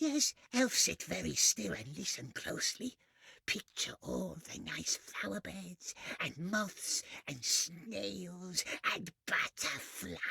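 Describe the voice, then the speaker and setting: A very slow pace in a put-on character voice. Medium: video game. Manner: talks in third person and "we", repetitive muttering.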